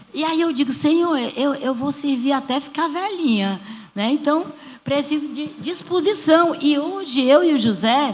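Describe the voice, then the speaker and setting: Over noticeable background noise and audible room echo, a woman speaks with a high pitch. Her pace is fairly slow and her intonation lively. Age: 60s. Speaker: church small-group leader. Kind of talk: church panel testimony.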